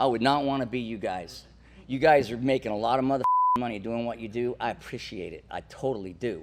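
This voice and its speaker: An animated male voice at a fairly quick pace and medium pitch, with ordinary pitch variation and noticeable background noise. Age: 60s. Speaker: older guest in a generational debate. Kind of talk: heated debate.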